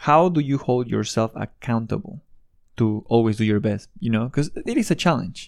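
On a very clean recording with a silent background, a man with a Spanish accent talks at a moderate pace with lively intonation. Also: medium pitch for a man. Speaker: podcast host. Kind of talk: interview.

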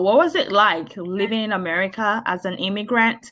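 In a very clean recording with a silent background, a woman with a bright, sharp tone talks at a moderate pace with ordinary pitch variation. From Nigeria. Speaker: podcast host. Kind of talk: interview.

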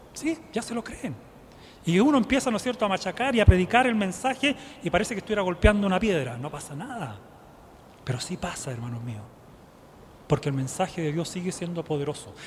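A man talks at a fairly quick pace but with long, frequent pauses. His high pitch shows very wide swings, and his loudness swings widely too. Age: 50s. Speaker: lay preacher. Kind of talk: sermon. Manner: rhetorical questions to congregation.

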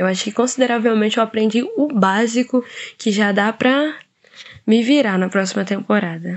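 Pitch rises and falls in an ordinary way. The delivery holds a medium speed. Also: woman, fairly high pitch for a woman. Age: young. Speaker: co-host, veterinary student. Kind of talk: casual chat.

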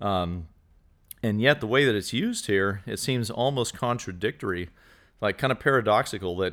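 A man with an ordinary speaking voice talks at a fairly low pitch with ordinary pitch variation on a very clean recording with a silent background. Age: 40s. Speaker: outreach leader. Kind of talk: casual chat.

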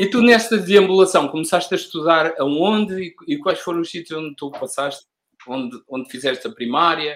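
Lively intonation at a moderate pace, with big swings in loudness. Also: man, high pitch for a man. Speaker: podcast host. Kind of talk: casual interview.

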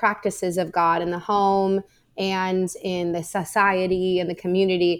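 On a very clean recording with a silent background, a woman with an American accent speaks at medium pitch and a fairly slow pace. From US West Coast, Orange County, California. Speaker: seminary professor. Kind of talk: interview.

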